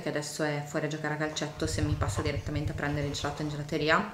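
A woman speaks at a very deep, low pitch. Room echo is audible, along with light background noise. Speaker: vlogger. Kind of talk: casual vlog chat. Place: kitchen. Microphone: phone near.

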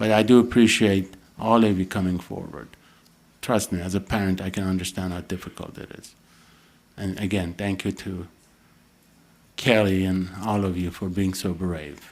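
With a slight non-native accent, the speaker keeps a moderate pace and fairly even intonation. Long, frequent pauses and big swings in loudness mark the delivery. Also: man, very deep, low pitch for a man. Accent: slight foreign. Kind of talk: formal, official. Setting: public meeting.

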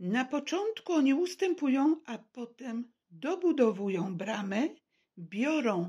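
Somewhat breathy speech unfolds at a very slow pace with very wide pitch swings over a quiet background. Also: woman. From Poland, Warsaw. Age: 70s. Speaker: vlogger telling personal story. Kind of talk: personal testimony monologue; personal testimony, casual monologue. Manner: halting. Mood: serious, aggrieved. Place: home room. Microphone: phone near.

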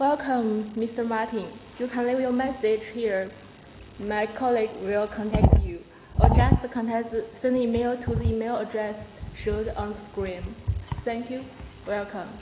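Over noticeable background noise, a woman talks at a fairly slow pace with monotone, flat intonation and long, frequent pauses. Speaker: sales representative. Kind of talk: product presentation. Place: office. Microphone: phone near.

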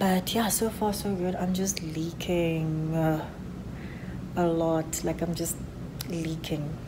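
A woman's fairly low voice at a very slow pace, with very even loudness, fairly even intonation and noticeable background noise. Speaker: vlogger in early labour. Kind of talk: casual vlog chat. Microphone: phone near.

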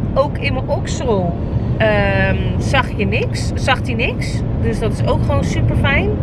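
A woman at a very slow pace, dry sound with no echo, loud background noise behind her. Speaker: vlogger. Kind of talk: casual vlog chat. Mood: calm, explanatory, upbeat. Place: car. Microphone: phone near.

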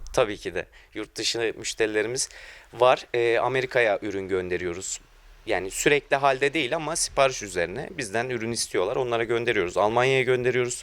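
Recorded very cleanly against a silent background, a man talks at a fairly quick pace and medium pitch with ordinary pitch variation. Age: 20s. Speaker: furniture maker, family business. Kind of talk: interview. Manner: hesitant, many fillers.

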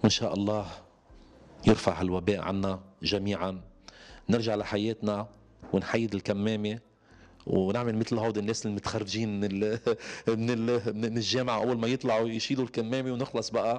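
At a moderate pace, a man speaks with a fairly low pitch and monotone, flat intonation. He leaves long, frequent pauses. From Lebanon. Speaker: singer; interviewee. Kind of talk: interview. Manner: halting. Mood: relaxed, smiling at times. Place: home room. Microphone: handheld.

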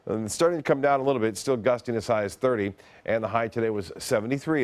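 A man's pitch rises and falls in an ordinary way as he talks at a moderate pace. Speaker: TV weather forecaster. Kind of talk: TV weather forecast, informative on-air report with banter. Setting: TV studio. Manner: steady, conversational, businesslike; halting with filler 'uh' pauses. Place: studio. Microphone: lapel.

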